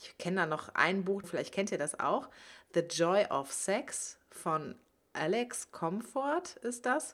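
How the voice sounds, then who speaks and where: The delivery is very slow, with very wide pitch swings. The recording is very clean, the background silent. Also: woman, medium pitch for a woman. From Germany, Cologne area. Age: 30s. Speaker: podcast host, sex educator. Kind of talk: podcast monologue.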